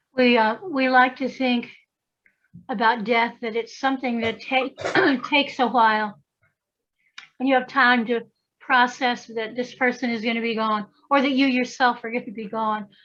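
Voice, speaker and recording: A woman speaks with an Appalachian accent and a high pitch. Her intonation is monotone and flat, with long, frequent pauses. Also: moderate pace. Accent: Southern Appalachian US. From US South, western North Carolina. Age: 60s. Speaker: priestess and folklorist. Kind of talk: casual chat.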